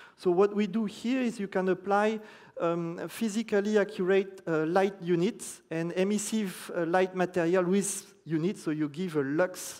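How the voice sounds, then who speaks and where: The speaker moves at a moderate pace. There are hardly any pauses. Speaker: conference speaker presenting design software. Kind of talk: conference presentation.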